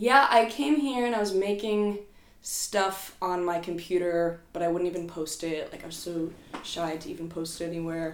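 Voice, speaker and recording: Someone with a New Jersey accent speaks at a moderate pace with ordinary pitch variation and big swings in loudness. Audible room echo surrounds the voice. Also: woman. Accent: American, New Jersey. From US Northeast, rural New Jersey. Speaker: musician and art teacher. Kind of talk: casual chat.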